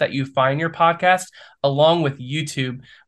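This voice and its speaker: A man with an American accent talks in an ordinary speaking voice at a moderate pace, his pitch fairly high and his intonation fairly even, over a quiet background. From Ohio, US Midwest. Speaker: small-town development entrepreneur. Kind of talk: podcast interview.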